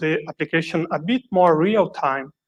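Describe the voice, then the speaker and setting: A man speaks with a Brazilian Portuguese accent. His pitch is high, with ordinary variation. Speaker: software developer, conference speaker. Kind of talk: conference talk. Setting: conference stage, also streamed online.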